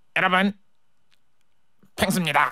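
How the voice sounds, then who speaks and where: A put-on character voice at middle pitch and moderate pace. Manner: cheerful, greeting the audience.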